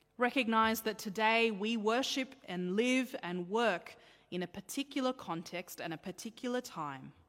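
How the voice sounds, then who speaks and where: Against a very clean, silent background, a woman with an Australian accent speaks at a moderate pace in a fairly high voice with lively intonation. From Australia, child of Sri Lankan Tamil migrants. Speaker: pastor. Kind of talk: sermon.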